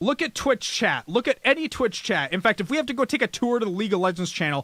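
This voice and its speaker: With a bright, sharp tone, a man uses a raised, projected voice and very wide pitch swings, captured in a very clean, dry, close recording with a silent background and no echo. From Canada, Calgary, Alberta. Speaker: live streamer and talk show host. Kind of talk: casual chat.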